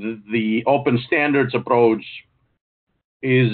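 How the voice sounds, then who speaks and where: A man at a moderate pace with fairly even intonation against a quiet background. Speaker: webinar presenter. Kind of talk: lecture. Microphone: video call.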